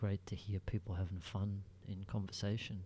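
Soft-spoken and somewhat breathy, a man speaks at a fairly slow pace with a fairly low pitch. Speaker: solo podcaster. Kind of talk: casual solo monologue. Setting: home recording at night. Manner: halting.

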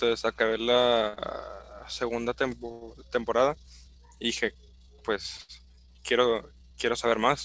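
A man speaks at a very slow pace with a Mexican accent. His pitch sits in the medium range. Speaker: podcast co-host. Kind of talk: casual chat.

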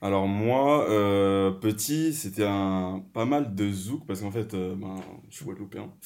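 Very slow male speech, fairly low in pitch, with ordinary pitch variation. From Paris region and rural France, Guadeloupean family. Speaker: podcast guest, art management student. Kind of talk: casual chat.

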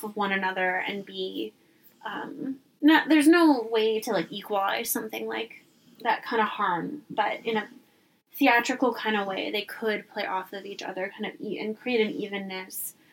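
A woman with a plain, everyday voice, fairly high in pitch, lively intonation, a moderate pace and big swings in loudness. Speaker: podcast co-host. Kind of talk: casual chat.

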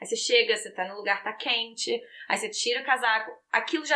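Her voice is high-pitched with a bright, sharp tone as the woman speaks at a fairly quick pace. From Brazil, Rio de Janeiro. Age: 30s. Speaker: fashion graduate, Brazilian immigrant. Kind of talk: casual chat. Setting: in person in a room with hosts.

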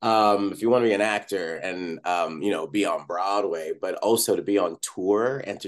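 The voice is an unremarkable speaking voice. The background is quiet. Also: man. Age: 40s. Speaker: Broadway actor. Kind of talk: interview.

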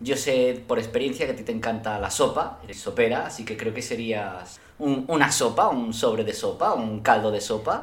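With fairly even intonation at a medium pitch, a man talks through noticeable background noise and audible room echo. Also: moderate pace, hardly any pauses. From Spain. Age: 30s. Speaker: podcast guest. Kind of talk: casual chat.

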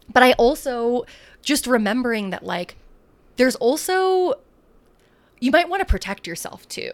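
A woman speaks with an American accent at a moderate pace, her intonation lively. It is a plain, everyday voice. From San Francisco, US. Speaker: marketing agency co-founder. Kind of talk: casual chat.

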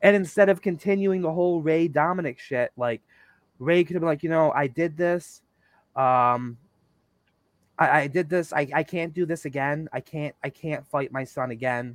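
A man speaks in a normal speaking voice at a moderate pace with ordinary pitch variation, his sound dry and close with no echo on a very clean recording against a silent background. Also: fairly high pitch for a man. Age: 30s. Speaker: podcast host. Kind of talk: casual chat.

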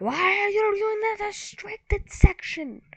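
A woman puts on a character voice pitched extremely high. She talks at a fairly slow pace. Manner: gruff, scolding.

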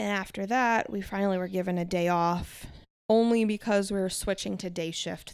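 A woman speaks at medium pitch and a moderate pace in an unremarkable speaking voice. The recording is very clean, with a silent background. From New York, north of Manhattan. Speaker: EMT. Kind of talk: casual chat. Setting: front porch at home.

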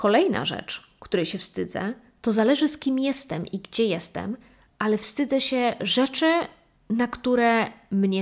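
A woman's fairly high voice at a fairly slow pace with ordinary pitch variation, on a very clean recording with a silent background. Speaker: solo podcast host. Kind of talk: casual monologue. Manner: animated.

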